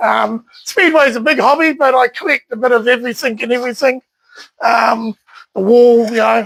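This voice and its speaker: In a New Zealand accent, a man talks at a moderate pace with an extremely high pitch, ordinary pitch variation and very even loudness, in a dry, close sound with no echo. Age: 60s. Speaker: collector and speedway enthusiast. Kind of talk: casual interview. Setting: at his home. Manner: hesitant, many fillers.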